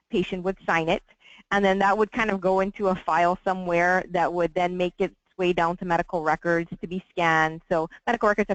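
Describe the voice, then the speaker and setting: A woman with a fairly low voice speaks quickly in a flat monotone. The sound is dry and close, with no echo. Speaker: hospital administrator. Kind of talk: webinar interview. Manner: fast.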